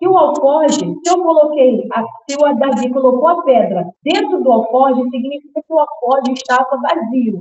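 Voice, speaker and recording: Hardly any pauses break this moderate-paced delivery, which has lively intonation. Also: woman, high pitch for a woman. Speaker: preacher. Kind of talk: sermon.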